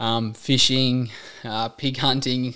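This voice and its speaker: A man with an Australian accent speaks at a medium pitch. His intonation stays fairly even. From rural New South Wales, Australia. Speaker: fitness trainer and podcast host. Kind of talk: casual monologue. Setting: solo recording. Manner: casual, many filler ums.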